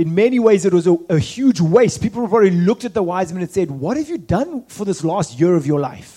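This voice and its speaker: A man talks at a fairly quick clip with hardly any pauses, his high-pitched voice dark and mellow in tone and lively in intonation. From South Africa. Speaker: missionary leader and guest preacher. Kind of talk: sermon with interpreter. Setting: church.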